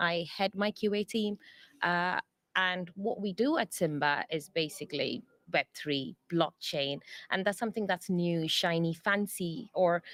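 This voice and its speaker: On a very clean recording with a silent background and a dry, close sound with no echo, a woman with an English accent speaks fairly slowly in a medium pitch with ordinary pitch variation. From England. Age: 30s. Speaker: software testing lead. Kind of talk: interview. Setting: conference.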